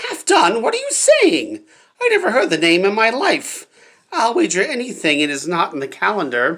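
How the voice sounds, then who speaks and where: A put-on character voice with a fairly high pitch at a moderate pace. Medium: read story.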